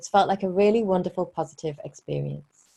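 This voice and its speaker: A woman speaks with a British accent at a fairly low pitch. Her background is quiet. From Britain. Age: 40s. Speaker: relationship coach. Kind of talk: webinar presentation. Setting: online webinar.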